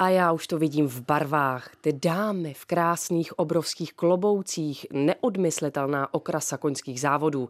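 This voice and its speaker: The recording is very clean with a silent background, and the voice shows big swings in loudness. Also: woman, very deep, low pitch for a woman, ordinary pitch variation, fairly slow pace. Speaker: radio host. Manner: lively, witty, theatrical.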